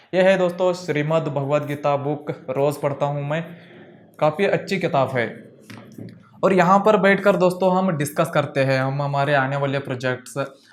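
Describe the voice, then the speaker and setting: A man's fairly high voice with a non-native accent and ordinary pitch variation. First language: not Hindi (speaking Hindi). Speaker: filmmaker and video editing teacher. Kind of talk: casual home and studio tour vlog.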